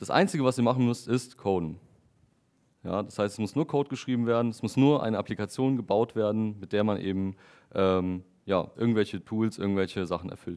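Talking at a fairly quick pace against a quiet background, a man uses a fairly low pitch with ordinary pitch variation. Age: 20s. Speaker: software developer giving a tech talk. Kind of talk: lecture. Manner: hesitant with frequent fillers. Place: meeting room.

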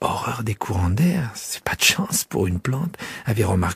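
A natural voice is heard reading aloud.

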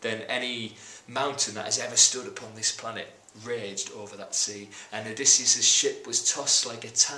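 A reading voice, unforced.

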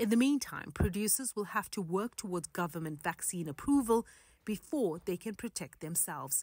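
A woman with lively intonation and a somewhat breathy voice speaks at a moderate pace, in a very clean recording with a silent background and a dry, close sound with no echo. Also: medium pitch for a woman. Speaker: news reporter. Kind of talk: news narration.

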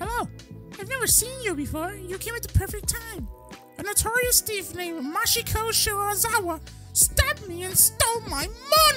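Over clear music in the background, a woman performs a put-on character voice at an extremely high pitch. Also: moderate pace.

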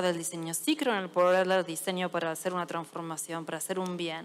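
The woman here speaks. Her pace is fairly quick. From Argentina. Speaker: service designer and conference speaker; conference speaker. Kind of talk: audience Q&A; conference talk. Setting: stage with audience. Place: stage. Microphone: headset.

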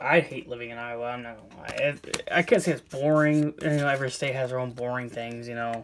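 Very fast speech over light background noise. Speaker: Pokemon card YouTuber and seller. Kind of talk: casual video monologue while opening card boxes. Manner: casual, repetitive, chatty. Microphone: phone near.

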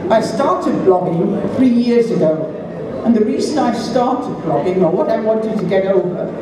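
With audible room echo and noticeable background noise, a woman talks at a moderate pace. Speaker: blogger and festival opening speaker. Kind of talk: festival opening speech to an audience. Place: stage.

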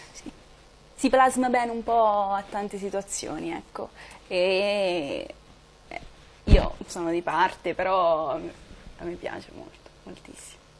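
A woman speaks very slowly with long, frequent pauses, lively intonation and big swings in loudness. Light background noise can be heard. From Italy, Marche (Morrovalle). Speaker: singer. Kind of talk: TV interview. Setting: studio. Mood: relaxed, slightly shy. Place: studio.

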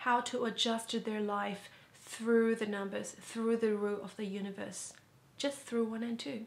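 Speaking slowly-ish at a fairly slow pace, a woman with a non-native accent holds a fairly high pitch in a monotone, flat intonation. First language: not English. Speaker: educational vlogger. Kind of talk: educational talk to camera. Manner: casual.

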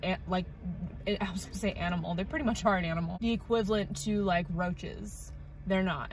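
Speaking at a fairly quick pace, a woman shows ordinary pitch variation in a dry sound with no echo and light background noise. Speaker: vlogger. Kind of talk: casual vlog chat. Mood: bored, chatty storytelling. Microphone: phone near.

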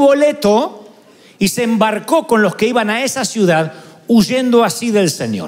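Speech moves at a fairly slow pace. Its intonation rises and falls in a lively way. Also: man. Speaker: preacher. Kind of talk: sermon. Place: church. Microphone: handheld.

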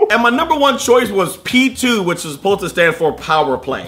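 Noticeable background noise runs under a man's voice. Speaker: comedy tech video host. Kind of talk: comedic countdown commentary. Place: home room.

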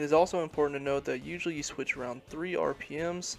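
Over music in the background, a man talks at a fairly quick pace with fairly even intonation. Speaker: student narrator. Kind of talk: tutorial.

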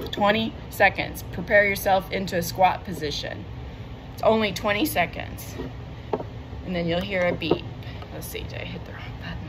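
At a moderate pace, a woman speaks with big swings in loudness and long, frequent pauses over noticeable background noise. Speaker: fitness instructor. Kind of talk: follow-along home workout class, counting reps and cueing exercises between timer beeps. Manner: short, clipped commands shouted in bursts during intervals; chatty and self-correcting, with frequent ums and repeated words. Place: home room.

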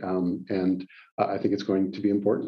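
In a Western Canadian accent, a man talks at a moderate pace with a fairly low pitch. Behind him the background stays quiet. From Calgary, Alberta, Canada; Alberta, Canada. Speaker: lawyer and mayoral candidate; lawyer, candidate. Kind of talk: interview. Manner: hesitant, many fillers. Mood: calm, measured. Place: office. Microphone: webcam.

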